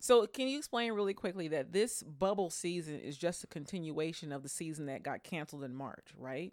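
A woman in an unremarkable speaking voice, fairly low in pitch, speaks at a fairly quick pace with hardly any pauses, lively intonation and big swings in loudness, on a very clean recording with a silent background. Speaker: podcast co-host. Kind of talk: casual chat.

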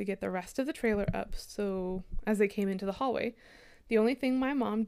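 This is plain reading aloud. Ordinary pitch variation runs through it.

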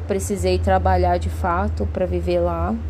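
The woman's pitch is very deep and low. She speaks at a fairly slow pace, with audible room echo. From Brazil, Cuiabá, Mato Grosso. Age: 30s. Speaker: podcast host and artist. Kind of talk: casual monologue. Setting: home. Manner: hesitant, many fillers.

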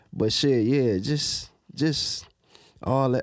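A man talks with an American accent, recorded very cleanly against a silent background. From Detroit, Michigan (Southwest side). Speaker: comedian. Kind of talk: casual interview. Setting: studio.

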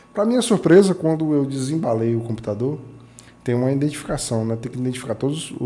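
Noticeable background noise sits behind a man with a Bahian accent. He speaks at medium pitch and a fairly quick pace. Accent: Bahian Brazilian Portuguese. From Bahia, Brazil (Itajuípe). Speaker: computer modder and tech event ambassador. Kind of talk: interview storytelling.

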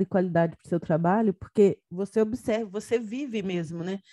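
With a dark, mellow tone and ordinary pitch variation, a woman's voice comes across dry and close with no echo against a quiet background. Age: 30s. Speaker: podcast host, education researcher. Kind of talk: interview conversation.

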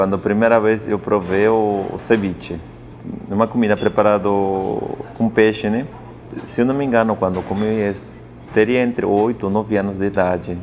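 Over noticeable background noise, a man speaks in a Spanish accent at a moderate pace. His fairly low voice stays monotone, with flat intonation. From Peru, Andes (Apurímac). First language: Spanish (speaking Portuguese). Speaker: chef. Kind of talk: interview. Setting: restaurant.

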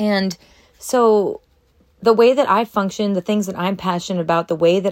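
A woman with a normal speaking voice, medium pitch and fairly even intonation at a moderate pace, in a dry, close sound with no echo on a very clean recording with a silent background. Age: 30s. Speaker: lifestyle podcast host. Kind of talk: casual solo monologue. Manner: rambling, conversational with fillers.

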